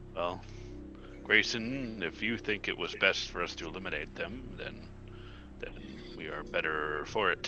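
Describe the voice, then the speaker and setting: A man uses a put-on character voice at a fairly low pitch and a moderate pace. He leaves long, frequent pauses over loud background noise. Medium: actual play. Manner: slow, thoughtful, humming.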